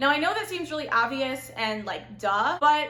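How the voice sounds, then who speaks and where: A woman's high, bubbly, animated voice with a Southern California accent, raised and projected, with lively intonation, audible room echo and noticeable background noise. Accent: Valley girl. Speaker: lifestyle vlogger. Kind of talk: casual advice monologue. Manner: loud.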